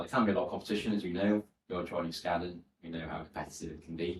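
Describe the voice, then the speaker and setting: Speaking at a very fast pace in a Welsh accent, a man delivers his words with monotone, flat intonation and a very deep, low pitch that is somewhat breathy. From Wales, West Wales (Aberaeron). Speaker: former solicitor, education entrepreneur. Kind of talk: podcast interview.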